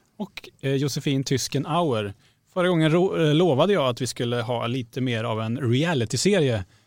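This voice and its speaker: An unremarkable speaking voice moves at a moderate pace. The intonation is lively. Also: man, medium pitch for a man. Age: 40s. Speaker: podcast host, magazine journalist. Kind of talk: casual chat.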